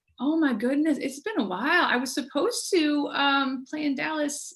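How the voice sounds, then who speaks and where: A woman with an American accent speaks in a high voice with lively intonation. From Buffalo, New York. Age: 40s. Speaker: jazz trumpeter. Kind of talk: casual chat. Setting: video call.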